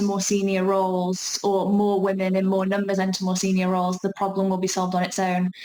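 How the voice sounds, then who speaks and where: A woman speaks at a medium pitch in a strong South Yorkshire accent. There is noticeable background noise. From South Yorkshire, England. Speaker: talk presenter on workplace inclusion. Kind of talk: online talk Q&A. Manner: hesitant, many fillers and restarts.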